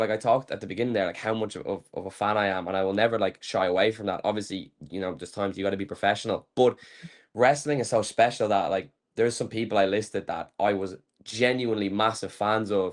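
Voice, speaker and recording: Very fast speech from a man with an Irish accent, fairly low in pitch, with fairly even intonation. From Ireland. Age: 20s. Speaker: pro wrestler. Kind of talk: interview. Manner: fast, filler-heavy.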